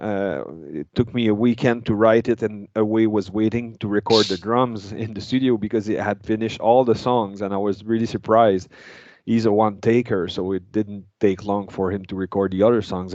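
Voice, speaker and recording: In a quiet background, a man speaks with a French accent. His pitch is fairly low and his intonation fairly even. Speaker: metal guitarist. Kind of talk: interview. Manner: halting.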